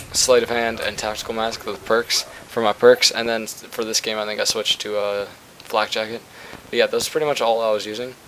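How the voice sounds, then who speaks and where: With noticeable background noise behind him, a man speaks at a fairly quick pace in a monotone, flat intonation. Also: medium pitch for a man. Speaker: gaming YouTuber. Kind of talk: gameplay commentary. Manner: fast; casual, rambling with fillers.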